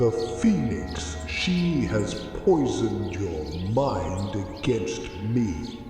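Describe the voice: Clear music plays in the background as a man talks in a put-on character voice. He speaks at a very slow pace with a fairly low pitch. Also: lively intonation.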